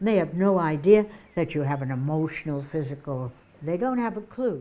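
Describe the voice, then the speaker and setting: With an American accent, a woman speaks at a fairly quick pace in a very deep, low pitch, her dark, mellow tone carried by lively intonation. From US Northeast, Boston. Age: 80s+. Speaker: comedian. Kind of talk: interview.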